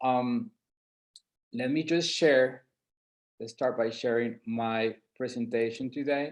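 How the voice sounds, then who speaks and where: This man's intonation is fairly even. He talks with a non-native accent. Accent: noticeable non-native. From San Andres island, Colombia. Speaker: entrepreneur presenting market study. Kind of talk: webinar presentation.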